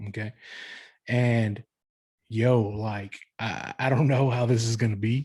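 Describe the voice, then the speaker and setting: At a moderate pace, a man speaks at medium pitch with fairly even intonation. His voice is somewhat breathy, and the background is quiet. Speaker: dancer and podcast host. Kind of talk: casual monologue. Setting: pre-recorded live stream. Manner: halting, many fillers.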